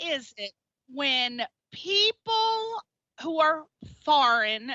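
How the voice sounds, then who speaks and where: An energetic woman with a strong East Coast US accent swings very widely in pitch. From Connecticut. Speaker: radio host. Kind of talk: radio interview.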